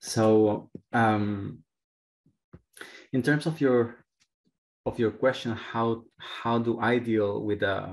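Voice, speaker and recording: A man's medium-pitched voice at a very slow pace, with long, frequent pauses and fairly even intonation, over a quiet background. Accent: Spanish. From Chile. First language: Spanish. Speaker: clinical psychologist. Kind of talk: panel discussion. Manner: halting.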